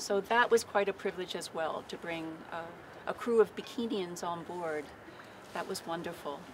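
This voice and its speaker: A woman with an American accent talks at a moderate pace in a fairly low pitch, with ordinary pitch variation, big swings in loudness and long, frequent pauses. Noticeable background noise runs underneath. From Baltimore, Maryland. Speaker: peace activist, sailing crew member; speaker. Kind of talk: public speech. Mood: earnest, recounting alarm. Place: waterside. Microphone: podium.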